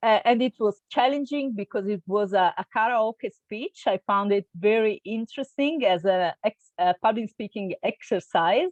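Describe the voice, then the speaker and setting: A woman with an Italian accent and a fairly high pitch speaks at a moderate pace with hardly any pauses and ordinary pitch variation, in a dry, close sound with no echo. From Italy, Milan. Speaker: intercultural trainer. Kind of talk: interview. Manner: hesitant, many fillers.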